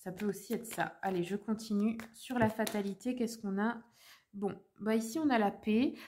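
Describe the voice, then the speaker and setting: A woman's somewhat breathy, fairly high voice holds fairly even intonation while showing big swings in loudness. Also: moderate pace. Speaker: tarot reader, medium. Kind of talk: tarot reading for viewers. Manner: hesitant, many fillers.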